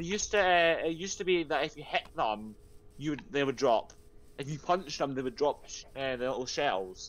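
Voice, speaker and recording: The speech moves at a fairly quick pace with lively intonation. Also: man. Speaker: game server player; streamer. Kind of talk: casual gaming chat. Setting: online voice chat. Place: home room.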